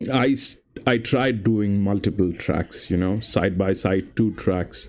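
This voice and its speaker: A man's fairly low voice at a fairly slow pace, with ordinary pitch variation and very even loudness, in a very clean recording with a silent background. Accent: non-native. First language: not English. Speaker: horse racing tipster streamer. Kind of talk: live stream commentary and chat. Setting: live stream.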